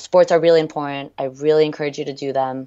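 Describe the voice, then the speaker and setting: A woman with an American accent, very deep and low in pitch, with fairly even intonation. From France and US. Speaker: rowing coxswain. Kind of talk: interview. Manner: hesitant with many ums.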